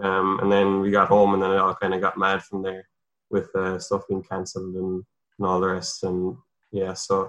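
The speaker has a Cork accent and a fairly quick pace. Intonation stays fairly even against a quiet background. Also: man. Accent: Cork Irish. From Ireland, north Cork. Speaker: professional cyclist. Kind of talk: interview.

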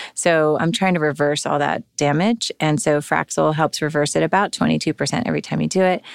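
Very deep and low, a woman's voice moves at a fairly quick pace with ordinary pitch variation, on a very clean recording with a silent background and a dry, close sound with no echo. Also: very even loudness. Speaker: dermatologist and professor. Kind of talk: casual interview chat.

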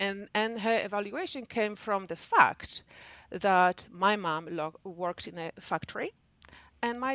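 A woman's fairly high voice with a Polish accent and lively intonation, over a quiet background. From Poland. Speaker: civil engineer. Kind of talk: interview.

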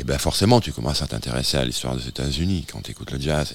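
A man with a very deep, low pitch and vocal fry, talking very fast with ordinary pitch variation. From southwest France. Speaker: music manager and publisher. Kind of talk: casual radio conversation. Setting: radio studio.

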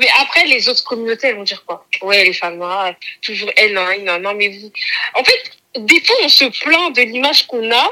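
Speaking at a moderate pace in an ordinary speaking voice, a woman with a fairly high pitch uses lively intonation and big swings in loudness. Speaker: podcast guest, host's cousin. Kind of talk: casual chat.

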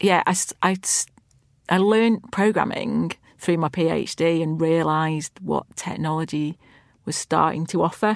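A woman at a fairly slow pace with fairly even intonation, on a very clean recording with a silent background. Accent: Lancashire. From Lancashire, northern England. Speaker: chief technology officer. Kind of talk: interview.

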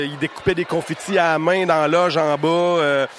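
A man with a high pitch and fairly even intonation speaks at a moderate pace over noticeable background noise. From Quebec, Témiscamingue. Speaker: stage manager. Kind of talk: storytelling.

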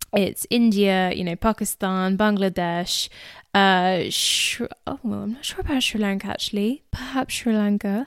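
A woman with an English accent at a fairly slow pace, her medium pitch varying in an ordinary way, in a very clean recording with a silent background. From England. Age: 20s. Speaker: podcast host. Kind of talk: casual chat.

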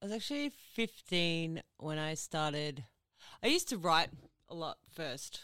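Speaking fairly slowly with long, frequent pauses, a woman with an Australian accent uses lively intonation, a fairly low pitch and a bright, sharp tone, recorded dry and close with no echo. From Ipswich, Queensland, Australia. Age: 30s. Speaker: singer. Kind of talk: casual chat.

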